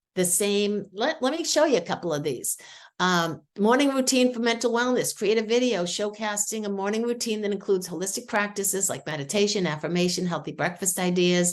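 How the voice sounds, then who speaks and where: A woman with a Boston accent, medium pitch, an animated tone and lively intonation, fairly quick pace with hardly any pauses, against a quiet background. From New England, Boston. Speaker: AI tool demonstrator. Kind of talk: screen-share tutorial. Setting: video call.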